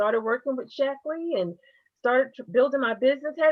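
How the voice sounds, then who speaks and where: A woman with an unremarkable speaking voice, lively intonation and a moderate pace. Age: 50s. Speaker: direct sales distributor. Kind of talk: testimony.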